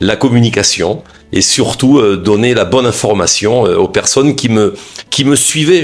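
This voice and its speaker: The delivery comes at a moderate pace with lively intonation. There is noticeable background noise. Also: man. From southwestern France. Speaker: media founder and former broadcaster. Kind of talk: interview. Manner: hesitant with fillers.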